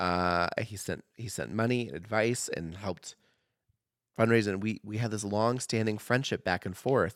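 With a normal speaking voice, a man talks at a moderate pace and fairly low pitch, ordinary pitch variation, on a very clean recording with a silent background. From Oregon, US. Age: 30s. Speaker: comedian and newspaper writer. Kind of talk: casual chat.

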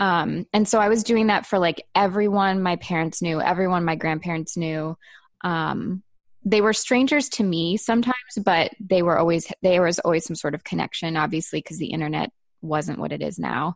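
A woman speaks in a normal speaking voice at a moderate pace, fairly low in pitch with ordinary pitch variation. The background is quiet. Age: 30s. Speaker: designer and photographer, small business owner. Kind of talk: casual interview chat.

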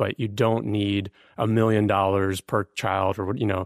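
A man with a plain, everyday voice talks at a moderate pace, his pitch fairly low and his intonation fairly even. The sound is dry and close with no echo, on a very clean recording with a silent background. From born in Ukraine, came to the US as a refugee. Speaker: podcast guest. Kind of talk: casual chat. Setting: in-person recording in Austin, Texas.

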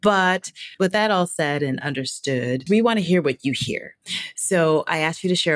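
A woman with an unremarkable speaking voice, lively intonation and a moderate pace, in a dry, close sound with no echo. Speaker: podcast host. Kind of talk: interview conversation.

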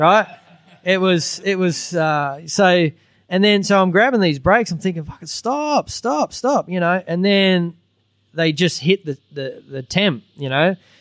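At a fairly slow pace, the speech has lively intonation and a dry, close sound with no echo. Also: man, high pitch for a man. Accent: Australian. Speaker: former motorcycle racer, junior racing coach. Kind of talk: live podcast recording with audience. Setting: stage with audience.

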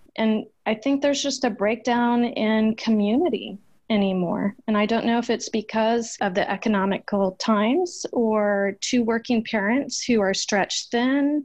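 Against a quiet background, a woman with a fairly high pitch speaks at a fairly slow pace with hardly any pauses, her somewhat breathy voice holding very even loudness and ordinary pitch variation. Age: 40s. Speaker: nonprofit founder and family law reform advocate. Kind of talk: interview.

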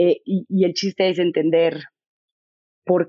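With a Mexican accent, a woman speaks in an intense tone. Her pitch is fairly low. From Mexico. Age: 40s. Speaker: author. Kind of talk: interview. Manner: articulate, intense.

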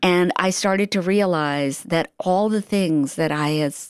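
A woman's fairly low voice, a plain, everyday voice, fairly even in intonation and fairly slow, with a dry, close sound, no echo, and a very clean recording over a silent background. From India, then raised in US from age nine. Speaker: novelist. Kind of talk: radio interview.

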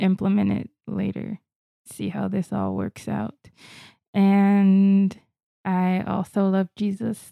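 Speaking very slowly with an American accent, a woman uses a dark, mellow tone at medium pitch, the sound dry and close with no echo. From Florida. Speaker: podcast host. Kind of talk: casual chat.

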